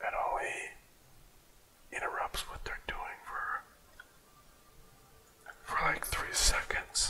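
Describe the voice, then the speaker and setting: Whispered words come at a very slow pace, broken by long, frequent pauses, with noticeable background noise behind them. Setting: studio. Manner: whispered, soft-spoken.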